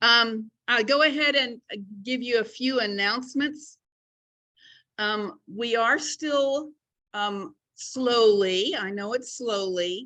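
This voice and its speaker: A loud woman's voice at a fairly high pitch with ordinary pitch variation, a very slow pace and long, frequent pauses. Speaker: club chapter leader. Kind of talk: meeting announcements. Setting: hybrid meeting, in person and Zoom.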